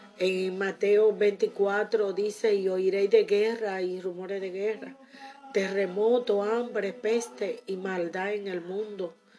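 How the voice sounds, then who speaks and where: A woman speaks at a very slow pace in a medium pitch, her tone warm. Her intonation stays fairly even over noticeable background noise. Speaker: preacher. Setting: radio recording studio. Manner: fervent, earnest and warm; declarative, repeating key phrases with pious exclamations.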